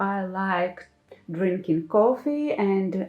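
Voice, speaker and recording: Lively intonation runs through this speech, delivered with a non-native accent. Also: woman. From Ukraine (Kyiv). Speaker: craft YouTuber. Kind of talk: room tour video. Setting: home craft room.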